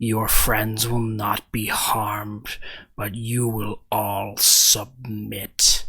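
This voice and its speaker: Growling in a put-on character voice of medium pitch, a man speaks at a very slow pace. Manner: menacing, commanding.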